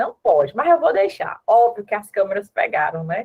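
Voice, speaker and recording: Here a woman speaks at a moderate pace. Her pitch swings very widely. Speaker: former neonatal ICU nurse, speaker. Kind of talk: online conference talk and Q&A.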